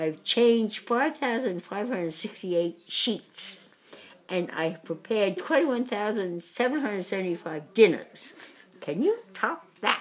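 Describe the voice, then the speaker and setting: Speaking at a fairly slow pace, a woman with a medium-pitched voice makes very wide pitch swings. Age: 80s+. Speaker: mother of nine. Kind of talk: casual message to family on camera. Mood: amused, proud, laughing. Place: home room. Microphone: phone near.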